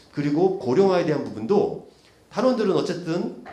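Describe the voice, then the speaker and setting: Over noticeable background noise and audible room echo, a man with a fairly high voice speaks fairly quickly, his pitch swinging very widely. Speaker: policy researcher and session moderator. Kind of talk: conference presentation. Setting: conference room. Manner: fast; hesitant, many fillers.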